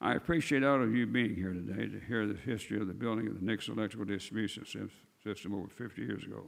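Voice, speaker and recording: In an American accent, a man talks at a very fast pace with a fairly low pitch and vocal fry. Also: ordinary pitch variation. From Missouri. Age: 80s+. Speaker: retired city attorney. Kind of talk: speech at council meeting. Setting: city council meeting.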